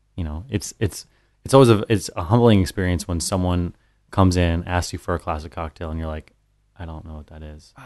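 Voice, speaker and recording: Against a quiet background, a man with an American accent talks at a fairly quick pace in a very deep, low pitch, with ordinary pitch variation and big swings in loudness. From Colorado. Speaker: bar owner and bartender. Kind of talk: casual chat.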